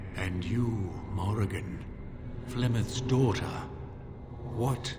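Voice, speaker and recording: A man in a put-on character voice talks at a very slow pace and medium pitch, with loud background noise and a clear echo. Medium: video game. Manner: calm, formal.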